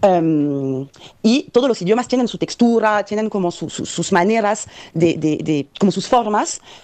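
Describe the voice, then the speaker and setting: With a strong French accent, this voice has a dark, mellow tone and lively intonation at a fairly slow pace. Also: woman, medium pitch for a woman. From France, Paris. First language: French (speaking Spanish). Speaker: migrant sharing experience. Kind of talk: recorded testimony. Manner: halting, many fillers.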